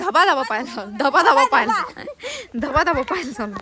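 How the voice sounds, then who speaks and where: The voice is raised and projected over noticeable background noise. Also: woman. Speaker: vlogger. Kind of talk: casual vlog chat. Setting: outdoors and in a rickshaw.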